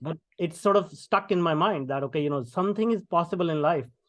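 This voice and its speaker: Speaking in an Indian accent, a man talks at a fairly quick pace and a high pitch with ordinary pitch variation. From India, small town. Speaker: tech entrepreneur and keynote speaker. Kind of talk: podcast interview. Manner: many fillers and hesitations.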